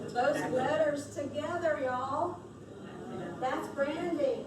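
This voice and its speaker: Against noticeable background noise, a woman talks in a high pitch with an energetic tone and lively intonation. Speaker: workshop presenter and trainer. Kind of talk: live workshop presentation to an audience. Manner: energetic, encouraging.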